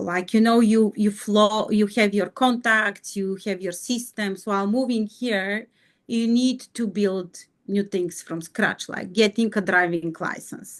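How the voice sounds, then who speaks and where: A woman with a Bulgarian accent speaks fairly slowly at medium pitch with fairly even intonation. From Bulgaria, Sofia. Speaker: mining executive. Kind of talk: interview. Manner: halting.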